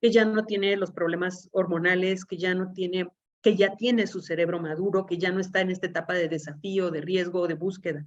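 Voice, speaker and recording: Her medium-pitched voice as a woman keeps a fairly even intonation. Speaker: legal expert in juvenile justice. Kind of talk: lecture. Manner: fast.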